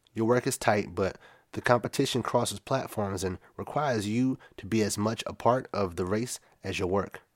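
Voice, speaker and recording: In a very clean recording with a silent background, a man speaks at a moderate pace with a fairly low pitch, ordinary pitch variation and a plain, everyday voice. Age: 30s. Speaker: podcast host and photographer. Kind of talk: solo podcast monologue.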